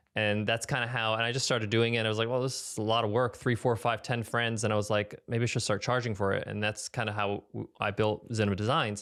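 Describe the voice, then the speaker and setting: Speaking very fast with hardly any pauses, a man with an American accent keeps a medium pitch and monotone, flat intonation. The recording is very clean, with a silent background. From US Northeast, Long Island, New York. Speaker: podcast host. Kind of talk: interview conversation. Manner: halting.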